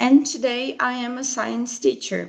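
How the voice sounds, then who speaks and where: A woman with a Brazilian Portuguese accent speaks with lively intonation. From Brazil, Mato Grosso do Sul. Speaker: science teacher. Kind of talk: presentation at online teacher training. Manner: hesitant, many fillers.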